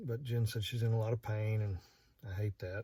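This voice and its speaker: A man with an American accent, somewhat breathy and dark, mellow in tone, at a moderate pace. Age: 50s. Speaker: vlogger. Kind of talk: casual vlog monologue. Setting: in a parked truck at night. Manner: halting, many fillers.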